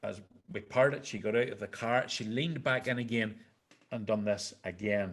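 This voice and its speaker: A man at medium pitch with a Northern Irish accent, moderate in pace, with ordinary pitch variation. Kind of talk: personal storytelling to a live audience.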